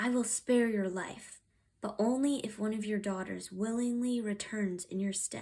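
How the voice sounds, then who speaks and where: Growling in a put-on character voice, a woman speaks at a moderate pace with a fairly high pitch. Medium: read story. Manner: growling, commanding.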